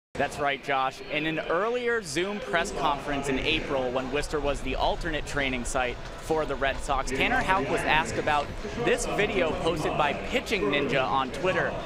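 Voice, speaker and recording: A man speaks at a moderate pace in a fairly high pitch. Music plays in the background. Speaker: baseball sideline reporter and play-by-play announcer. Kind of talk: sideline reporter report to the broadcast booth. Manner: conversational, informative.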